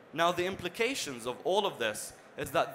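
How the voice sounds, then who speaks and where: Noticeable background noise runs behind a man talking at a fairly high pitch. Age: young. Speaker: conference presenter, business analyst. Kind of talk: conference presentation. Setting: stage with audience.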